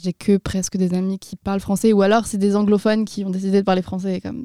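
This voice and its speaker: A woman's dark, mellow, medium-pitched voice in monotone, flat intonation, dry and close with no echo, on a very clean recording with a silent background. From France, Tours. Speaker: university student. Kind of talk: interview.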